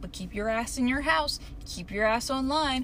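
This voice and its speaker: A woman has an unremarkable speaking voice. She talks at a moderate pace with ordinary pitch variation. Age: 20s. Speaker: solo podcaster. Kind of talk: casual solo monologue.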